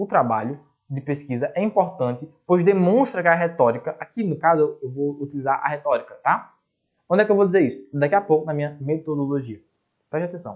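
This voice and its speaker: Fairly quick and lively in intonation, a man speaks with a fairly high pitch. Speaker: online course teacher. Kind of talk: lecture. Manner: fast.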